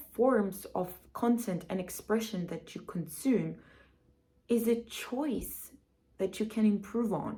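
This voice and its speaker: Speaking at a very slow pace, a woman's somewhat breathy voice sits fairly high, with a dark, mellow tone and ordinary pitch variation. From Cyprus. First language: Greek. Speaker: self-help vlogger. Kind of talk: casual vlog monologue. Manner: animated.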